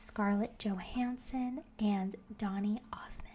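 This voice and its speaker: Soft-spoken and somewhat breathy, a woman talks at a very slow pace in a dark, mellow tone. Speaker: ASMR creator. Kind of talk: soft-spoken ASMR facts narration for sleep. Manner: soft-spoken, relaxing.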